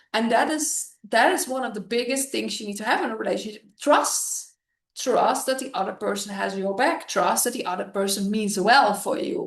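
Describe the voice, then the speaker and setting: With lively intonation and vocal fry, a woman speaks at a moderate pace in a fairly high pitch. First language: not English. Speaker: relationship coach. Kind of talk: casual chat.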